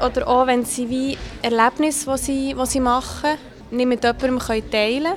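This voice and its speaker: Noticeable background noise runs through the clip. Over it, a woman speaks at a high pitch. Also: fairly even intonation, moderate pace. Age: young. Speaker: loneliness activist. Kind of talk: interview.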